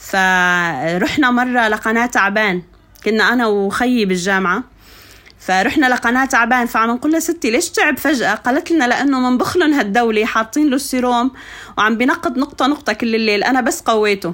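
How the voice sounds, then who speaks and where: Her loudness very even, a woman speaks high and lively at a moderate pace. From Syria, Suwayda countryside. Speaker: poet and educator. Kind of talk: interview storytelling.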